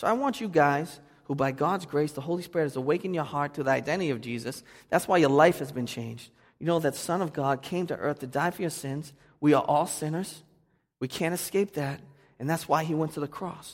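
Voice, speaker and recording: On a very clean recording with a silent background, a man with a Boston accent speaks at a fairly quick pace in a fairly high voice. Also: ordinary pitch variation. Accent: Boston, noticeable. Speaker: pastor. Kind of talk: sermon. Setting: church.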